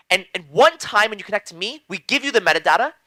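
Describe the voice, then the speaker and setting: A man speaks in a high-pitched, raised, projected voice with lively intonation. The sound is dry and close, with no echo. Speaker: blockchain lecturer. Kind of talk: lecture. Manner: fast; halting.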